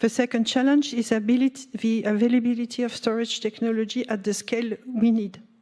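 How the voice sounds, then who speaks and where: Speaking at a moderate pace in a French accent, a woman keeps her intonation monotone and flat. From France. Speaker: nuclear industry representative. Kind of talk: panel discussion. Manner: halting, many fillers.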